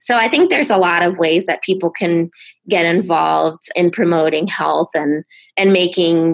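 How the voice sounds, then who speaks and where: Speaking at a moderate pace with an American accent, a woman's fairly low voice has vocal fry and fairly even intonation. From Rhode Island / southeastern Massachusetts, US. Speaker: public health scientist. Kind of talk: interview.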